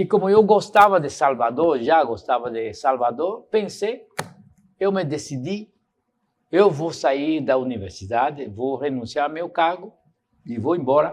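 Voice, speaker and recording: With lively intonation and a fairly high pitch, a man talks in a normal speaking voice. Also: fairly slow pace. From Cuba. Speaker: professor and intellectual. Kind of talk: lecture answering audience questions.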